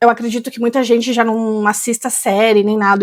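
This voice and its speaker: This is a woman speaking at a fairly high pitch. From Rio Grande do Sul, Brazil. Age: 30s. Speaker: English teacher. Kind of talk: tutorial.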